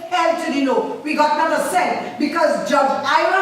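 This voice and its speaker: Amid noticeable background noise and audible room echo, a woman with a high pitch speaks in an animated tone with ordinary pitch variation. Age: 70s. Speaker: tenant activist. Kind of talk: public comment.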